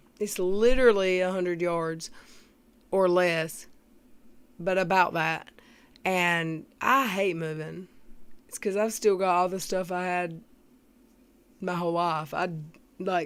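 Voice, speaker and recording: A woman with a Southern US accent talks slowly at a fairly low pitch, with fairly even intonation. Long, frequent pauses fill a very clean recording with a silent background. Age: 40s. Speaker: YouTube commentator. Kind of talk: live stream chat. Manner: casual.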